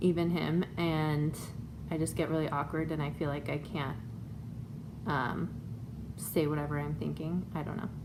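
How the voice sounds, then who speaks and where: With audible room echo, a woman speaks at a moderate pace in a very deep, low voice marked by vocal fry. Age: 20s. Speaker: vlogger sharing weight loss surgery journey. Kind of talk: casual vlog update. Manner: casual with many filler ums.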